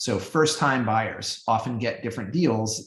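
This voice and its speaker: A man speaks at a medium pitch with a somewhat breathy quality. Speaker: business strategy expert presenting a webinar. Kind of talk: webinar Q&A answers.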